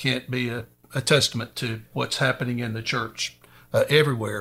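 A man in an East Texas accent, medium in pitch with ordinary pitch variation, music in the background. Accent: East Texas Southern. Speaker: preacher and Air Force veteran. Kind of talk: casual Bible discussion. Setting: studio.

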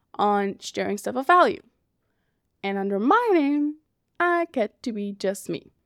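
Recorded very cleanly against a silent background with a dry, close sound and no echo, a woman speaks at a fairly slow pace with a fairly high pitch and lively intonation. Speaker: podcast host. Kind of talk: scripted narration.

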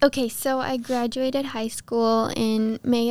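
Recorded very cleanly against a silent background, a woman with an American accent speaks very slowly in a high, flat, monotone voice. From Texas. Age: 20s. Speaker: former Bible school student. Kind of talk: interview.

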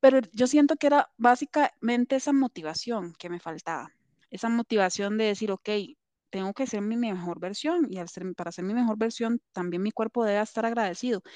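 Quick-paced with lively intonation, a dark, mellow tone comes through dry and close with no echo over a quiet background. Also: woman, fairly high pitch for a woman. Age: 30s. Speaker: doctor and therapy client. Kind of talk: casual interview testimony.

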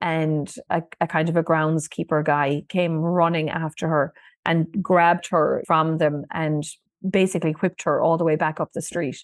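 In a Kerry accent, a woman with a fairly low pitch speaks at a moderate pace in a flat monotone, the sound dry and close with no echo against a quiet background. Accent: Kerry Irish. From Ireland, Listowel, County Kerry. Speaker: museum director and historian. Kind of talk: storytelling interview.

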